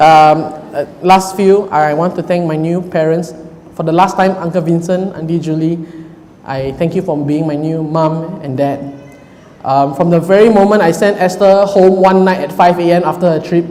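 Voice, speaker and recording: Loud and high-pitched, a man speaks at a moderate pace with fairly even intonation, backed by audible room echo and noticeable background noise. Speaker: groom. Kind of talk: wedding speech. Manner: halting.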